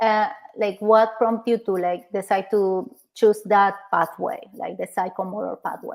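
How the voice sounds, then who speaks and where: A woman speaks in a Spanish accent at a moderate pace. Her pitch is fairly high, with ordinary variation. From Argentina. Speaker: therapist. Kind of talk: casual chat. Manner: halting.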